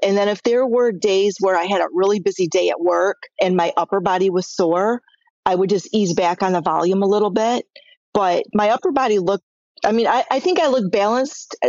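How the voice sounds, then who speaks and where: At a fairly quick pace, a woman of medium pitch talks in a plain, everyday voice with ordinary pitch variation and very even loudness. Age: 60s. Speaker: massage therapist. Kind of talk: interview answer.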